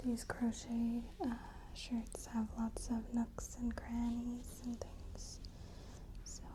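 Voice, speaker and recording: The speaker is soft-spoken and talks at a very slow pace. Background noise is noticeable. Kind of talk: ASMR styling walkthrough, over-explaining demonstration. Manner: soft-spoken, slow, detailed.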